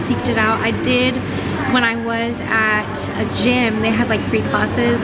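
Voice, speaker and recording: A woman talks at a moderate pace. Loud background noise runs under her voice. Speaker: travel vlogger. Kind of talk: casual vlog chat. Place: cafe. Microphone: phone near.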